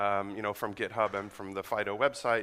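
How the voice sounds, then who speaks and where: In a very clean recording with a silent background, a man speaks with an American accent. His tone is bright and sharp, and his pace fairly quick. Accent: sounds American. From Netherlands. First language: Dutch. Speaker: network engineer and conference speaker. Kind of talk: conference talk. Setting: stage with audience. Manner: fast.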